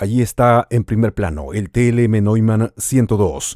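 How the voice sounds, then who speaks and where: In a dry recording with no echo and a quiet background, a man with a Latin American accent speaks at a fairly slow pace, using a fairly low pitch, ordinary pitch variation and a dark, mellow tone. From Peru. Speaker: radio host. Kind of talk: product unboxing voice-over. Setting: studio. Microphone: studio mic.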